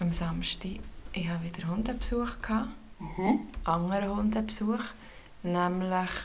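A woman speaks at a moderate pace and medium pitch with fairly even intonation, and audible room echo surrounds her voice. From Switzerland, canton of Bern. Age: 30s. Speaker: podcast co-host. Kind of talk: casual chat.

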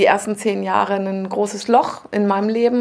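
Fairly even intonation from a woman, medium in pitch and moderate in pace. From Lower Saxony, northern Germany. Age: 40s. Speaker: coach and therapist. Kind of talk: radio interview. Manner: hesitant, many filler sounds.

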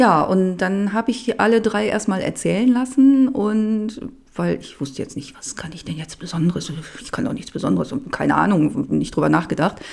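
A woman at a medium pitch speaks at a moderate pace with lively intonation. Her loudness swings widely, and there is noticeable background noise. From Germany, Upper Harz (Lower Saxony). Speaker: home cook and cooking YouTuber. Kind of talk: casual interview chat. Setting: studio.

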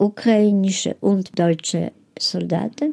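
Ordinary pitch variation and a dark, mellow tone in a woman's voice. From Lviv, Galicia (then Poland, now Ukraine). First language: Polish (speaking German). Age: 80s+. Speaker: Holocaust survivor. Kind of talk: interview testimony. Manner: halting.

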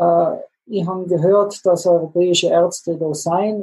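A man with a high pitch speaks in monotone, flat intonation. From South Tyrol. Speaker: plastic surgeon. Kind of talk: interview storytelling.

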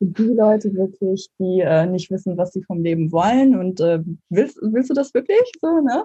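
Using a normal speaking voice, a woman speaks at a medium pitch and a moderate pace with lively intonation. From northern Germany, Mecklenburg. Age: 20s. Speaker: startup founder. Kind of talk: interview. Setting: video call.

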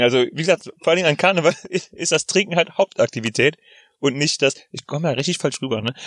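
A man speaks at a very fast pace, with a dry, close sound and no echo. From Rhineland, Germany. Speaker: podcast co-host. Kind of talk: casual chat. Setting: in a parked car.

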